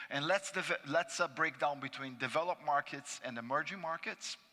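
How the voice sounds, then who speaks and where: Bright and sharp in tone, a man with a Brazilian accent speaks at a moderate pace and a fairly high pitch with ordinary pitch variation. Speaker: finance panelist. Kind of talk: conference presentation. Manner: hesitant with fillers.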